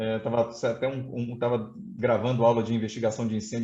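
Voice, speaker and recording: The man's medium-pitched voice holds a monotone, flat intonation. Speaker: fire safety expert, fire brigade colonel and instructor. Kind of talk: technical presentation in a webinar. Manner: fast; hesitant fillers (é, tá).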